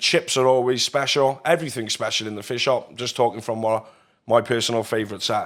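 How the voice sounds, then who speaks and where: A man with a South Wales accent at a very fast pace, medium pitch, and fairly even intonation, on a very clean recording with a silent background. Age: 30s. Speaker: podcast host. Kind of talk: interview.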